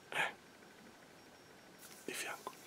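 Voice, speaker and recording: Whispering, a man speaks at a very slow pace. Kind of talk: soft ASMR role-play talk. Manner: soft ASMR role-play speech. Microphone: phone near.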